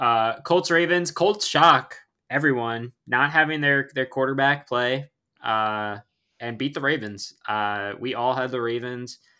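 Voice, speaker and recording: A man speaks fairly slowly at a medium pitch with a bright, sharp tone and ordinary pitch variation. The recording is very clean, with a silent background. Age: 20s. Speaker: sports podcast host. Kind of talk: casual chat.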